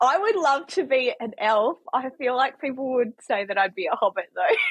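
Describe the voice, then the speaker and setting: A woman with a New Zealand accent speaks at a moderate pace in a high voice, her pitch swinging very widely. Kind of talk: casual chat.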